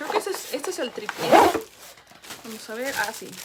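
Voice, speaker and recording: Over noticeable background noise, a woman with an American accent speaks at a high pitch. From Chicago. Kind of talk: product unboxing review to camera. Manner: fast, excited.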